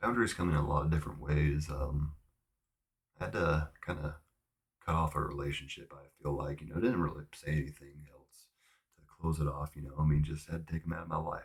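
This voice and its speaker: Soft-spoken man with a very deep, low pitch, somewhat breathy, at a fairly quick pace, with fairly even intonation and big swings in loudness. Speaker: vlogger. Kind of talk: casual monologue. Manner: hesitant, many fillers.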